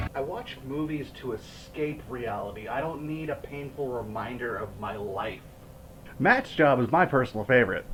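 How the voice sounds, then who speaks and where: An animated man at a medium pitch and moderate pace, ordinary pitch variation, noticeable background noise behind him. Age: 20s. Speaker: movie reviewer. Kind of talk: commentary-style movie review.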